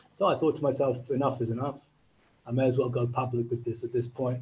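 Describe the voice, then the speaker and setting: A man talks in a monotone, flat intonation, his dark, mellow tone somewhat breathy. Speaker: journalist. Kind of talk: webinar talk. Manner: halting. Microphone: mic cutting out.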